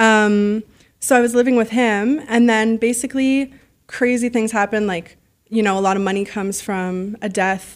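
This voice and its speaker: A woman speaks at a moderate pace with a Canadian accent and fairly even intonation, recorded very cleanly against a silent background. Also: fairly high pitch for a woman. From Canada, Ottawa. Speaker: lifestyle influencer. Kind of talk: interview.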